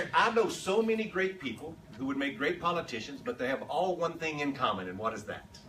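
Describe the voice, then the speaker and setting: A man with an American accent speaks at a fairly quick pace in an animated tone, his pitch swinging very widely. Audible room echo and noticeable background noise fill the recording. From Texas. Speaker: political consultant. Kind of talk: conference talk. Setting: stage with audience.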